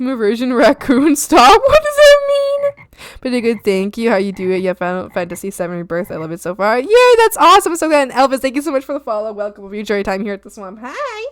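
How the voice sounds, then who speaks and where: Shouting from a high-pitched woman, very fast pace, hardly any pauses, very wide pitch swings and big swings in loudness. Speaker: art streamer. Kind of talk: casual chat. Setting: live stream. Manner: loud, screaming.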